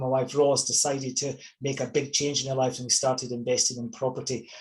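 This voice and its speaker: A man speaks with a Scottish accent at medium pitch. His pace is fairly quick. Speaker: property investor and coach. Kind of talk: webinar presentation. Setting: online webinar.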